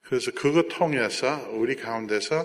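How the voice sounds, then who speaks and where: With a Jeolla accent, a man speaks at a fairly slow pace. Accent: Jeolla dialect Korean. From South Korea, Jeolla region (American missionary family). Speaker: missionary and aid organization director. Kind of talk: church talk with slide presentation.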